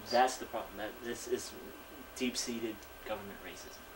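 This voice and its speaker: Noticeable background noise is present. The pace is fairly quick. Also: man. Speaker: interviewee. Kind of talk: interview testimony.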